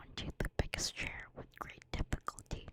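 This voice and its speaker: The voice is whispering at a moderate pace. Noticeable background noise sits behind it. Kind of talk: bedtime story whispered ASMR reading. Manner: whispered, soft.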